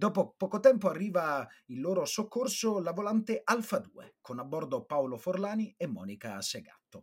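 A man with a high pitch talks at a moderate pace using lively intonation, with hardly any pauses. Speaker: narrator and comic artist, co-host. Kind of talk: storytelling narration.

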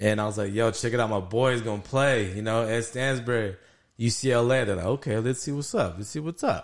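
Here is a man with an ordinary speaking voice, fairly low in pitch with ordinary pitch variation. He talks at a fairly quick pace over a quiet background. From El Paso, Texas. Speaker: sports podcast co-host, former football player. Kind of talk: casual chat.

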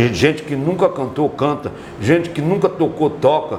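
Noticeable background noise and audible room echo surround a man talking at a moderate pace with a fairly high pitch. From Brazil, Piauí (Teresina). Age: 60s. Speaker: musician. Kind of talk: casual interview. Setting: podcast. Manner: repetitive stammering.

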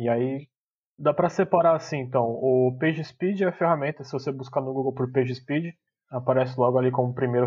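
At a fairly quick pace, a man with a plain, everyday voice speaks at a medium pitch. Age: 20s. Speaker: tech lead developer. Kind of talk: casual chat.

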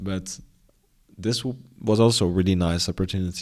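The speaker talks at a fairly quick pace with a Dutch accent. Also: man, very clean recording, silent background. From Netherlands, near Den Bosch. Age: 20s. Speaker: graduate student and entrepreneur. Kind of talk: interview.

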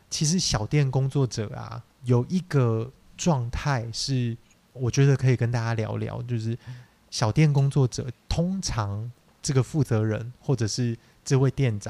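In a very clean recording with a silent background, a man speaks at a fairly slow pace with a dark, mellow tone, a medium pitch, ordinary pitch variation, and a dry, close sound with no echo. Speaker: podcast co-host, small business owner. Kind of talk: casual chat.

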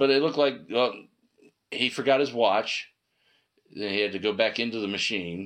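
Speaking at a fairly low pitch with ordinary variation, a man leaves long, frequent pauses. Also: moderate pace. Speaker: podcast co-host. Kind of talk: casual chat.

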